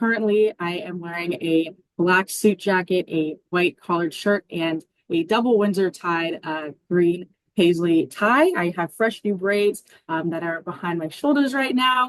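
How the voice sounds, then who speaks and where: A woman with an American accent speaks at a fairly slow pace in a plain, everyday voice, her fairly low pitch showing ordinary variation, in a dry, close sound with no echo. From Arizona. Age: 20s. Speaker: college student panelist. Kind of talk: casual panel chat.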